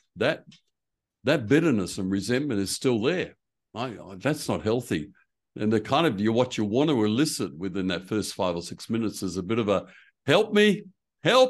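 With an Australian accent, a man speaks at medium pitch and a moderate pace, his intonation lively over a quiet background. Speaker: preaching coach and church consultant. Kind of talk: casual interview.

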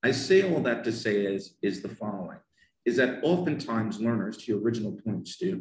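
A somewhat breathy man with an American accent, at a medium pitch and moderate pace. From US, northern New Jersey. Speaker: English teacher. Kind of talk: casual interview. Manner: animated.

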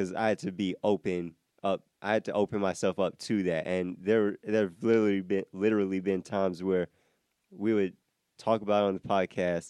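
A man with an American accent, fairly low-pitched and dark, mellow in tone, monotone and very even in loudness, at a fairly quick pace, in a dry, close sound with no echo. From Iowa. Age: 20s. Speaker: podcast co-host. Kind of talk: casual chat. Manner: laughs often.

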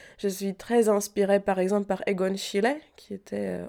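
With a Czech accent, a woman talks at a moderate pace. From Czech Republic, Prague. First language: Czech (speaking French). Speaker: painter. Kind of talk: interview. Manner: hesitant.

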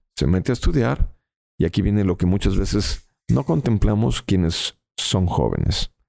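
A man with a very deep, low pitch and a dark, mellow tone uses very wide pitch swings and vocal fry, keeping very even loudness at a moderate pace in a dry, close sound with no echo. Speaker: stage hypnotist. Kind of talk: interview. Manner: calm.

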